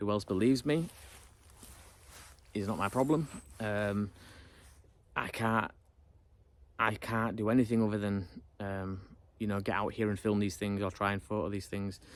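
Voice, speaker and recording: This man has a British accent and a fairly low pitch. He keeps a fairly even intonation and leaves long, frequent pauses. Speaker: YouTuber. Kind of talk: casual monologue to camera. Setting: alone in front of camera. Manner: fast; unrehearsed, hesitant.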